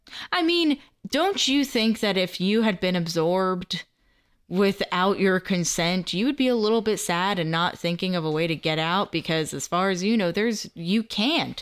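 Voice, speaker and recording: A woman speaks in an animated tone at a moderate pace, with a medium pitch and ordinary pitch variation, on a very clean recording with a silent background. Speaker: podcast co-host, Doctor Who newcomer. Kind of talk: casual chat, podcast banter. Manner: animated, joking.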